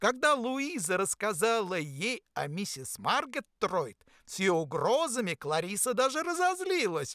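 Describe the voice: Someone reads aloud plainly. Nothing much sounds in the background.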